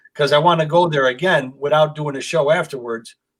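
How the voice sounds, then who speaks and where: A man speaks in a plain, everyday voice at a fairly high pitch. His pace is fairly quick and his intonation fairly even. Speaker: comedian. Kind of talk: casual chat.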